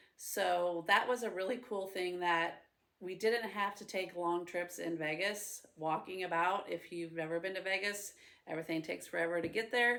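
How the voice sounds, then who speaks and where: With a Midwestern American accent, a woman speaks at a moderate pace in a medium pitch, her tone bright and sharp and her intonation fairly even. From central Illinois, US Midwest. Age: 40s. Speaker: preschool teacher. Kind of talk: personal introduction monologue. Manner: casual, with frequent 'um' fillers.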